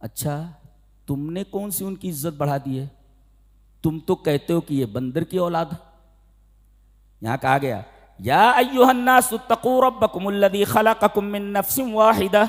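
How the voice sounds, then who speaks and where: A man speaks with a high voice for a man, his pitch swinging very widely. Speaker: Islamic scholar giving a sermon. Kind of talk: religious sermon (bayan), lecture to an audience.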